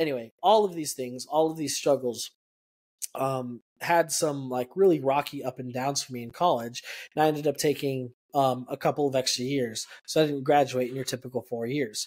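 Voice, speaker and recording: This man has an ordinary speaking voice at a fairly high pitch. He keeps a moderate pace and fairly even intonation. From El Paso, Texas. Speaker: podcast co-host. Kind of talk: casual chat, personal testimony.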